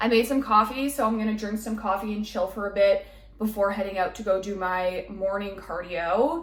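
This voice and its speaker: A woman puts on a raspy character voice at medium pitch, with ordinary pitch variation. She keeps a moderate pace over light background noise. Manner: casual vlog, labored speech.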